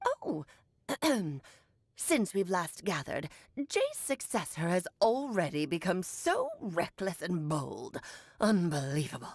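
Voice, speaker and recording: Putting on a character voice, a woman speaks at a medium pitch and a fairly slow pace, leaving long, frequent pauses. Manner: ominous, archaic, dramatic.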